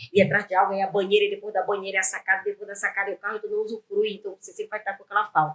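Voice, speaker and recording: An animated woman speaks at a medium pitch. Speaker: entrepreneur and business owner. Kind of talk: interview conversation. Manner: fast.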